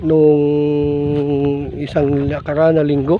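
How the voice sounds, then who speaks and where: The speaker goes at a fairly slow pace. Noticeable background noise runs under the voice. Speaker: ghost-hunting vlogger. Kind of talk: casual vlog walkthrough. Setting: outdoors in a cemetery.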